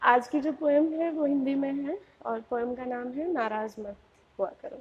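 A woman speaks in a high voice. Her pitch varies in an ordinary way. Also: moderate pace. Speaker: poet. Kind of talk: casual talk to camera. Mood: warm, friendly. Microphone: lapel.

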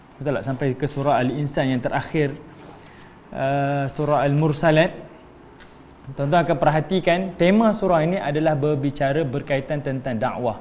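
At a moderate pace, a man with a plain, everyday voice and a fairly high pitch talks with ordinary pitch variation over light background noise. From Malaysia. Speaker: Islamic religious teacher; religious teacher. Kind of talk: religious lecture. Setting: online class streamed on Facebook. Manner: conversational with frequent fillers. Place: empty room.

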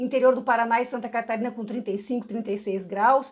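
Over a quiet background, a woman with a high pitch speaks at a moderate pace and with ordinary pitch variation. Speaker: meteorologist presenter. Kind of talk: weather forecast presentation. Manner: informative, explanatory; fluent, with occasional hesitations and repeated words. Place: office. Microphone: phone near.

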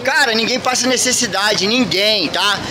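A man's raised, projected voice at a moderate pace over noticeable background noise. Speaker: street vlogger collecting donations. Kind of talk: casual vlog chat. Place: street. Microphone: phone near.

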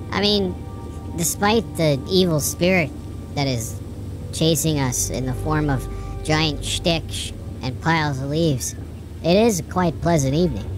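A put-on character voice sits at a low-to-middle pitch and a moderate pace. Loud music plays in the background. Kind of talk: horror game let's play commentary. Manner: upbeat, jokey.

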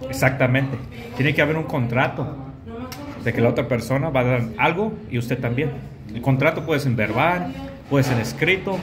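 A man's moderate-paced speech with ordinary pitch variation and long, frequent pauses, over noticeable background noise. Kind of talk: casual conversation over a meal.

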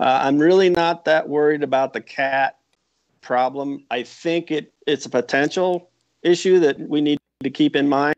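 A fairly high-pitched man at a fairly slow pace, with ordinary pitch variation and a quiet background. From Iowa. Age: 60s. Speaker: retired veterinary epidemiologist; guest. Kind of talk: interview. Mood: calm explanatory. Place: home room. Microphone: earbuds.

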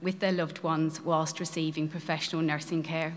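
This woman speaks at a moderate pace with a fairly low pitch. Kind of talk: prepared speech to an audience. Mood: earnest, grateful. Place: church.

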